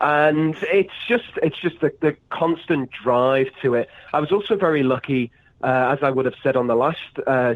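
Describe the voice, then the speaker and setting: A man with a fairly high pitch and ordinary pitch variation talks at a moderate pace, his loudness very even. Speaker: pro wrestler. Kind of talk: podcast interview. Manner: halting, many fillers and repeats.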